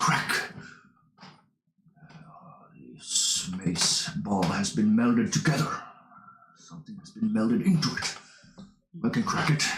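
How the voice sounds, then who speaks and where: This is a put-on character voice delivered at a fairly slow pace. Its loudness swings widely, and long pauses come often. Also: man, high pitch for a man. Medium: actual play. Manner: gruff, terse.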